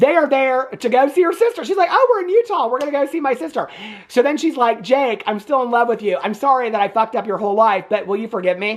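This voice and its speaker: Over noticeable background noise, a man with a Southern US accent talks at a very fast pace in an extremely high pitch, his tone animated. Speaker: movie reviewer, YouTuber. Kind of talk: casual movie review recap.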